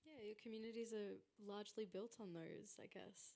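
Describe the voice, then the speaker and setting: A woman with an Australian accent speaks at a moderate pace and medium pitch, with ordinary pitch variation. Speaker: panel moderator. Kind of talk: panel discussion. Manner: loud.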